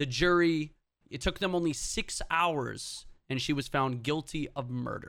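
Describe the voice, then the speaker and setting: Using a plain, everyday voice, the speaker moves at a fairly slow pace with ordinary pitch variation. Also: man, fairly high pitch for a man. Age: 20s. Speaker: podcast co-host. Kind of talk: casual chat.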